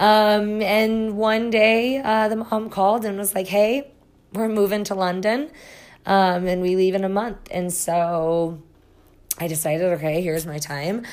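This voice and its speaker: A woman at medium pitch speaks at a fairly slow pace with ordinary pitch variation amid audible room echo. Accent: Midwestern US. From Iowa, US Midwest. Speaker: psychic reader and podcast host. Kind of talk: personal storytelling monologue. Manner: frequent filler words and hesitations.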